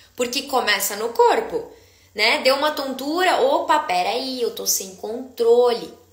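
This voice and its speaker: Over noticeable background noise and audible room echo, a woman talks at a fairly slow pace in a high pitch, her tone animated and her intonation lively. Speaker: dizziness therapist. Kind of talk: live stream Q&A talk. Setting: live stream.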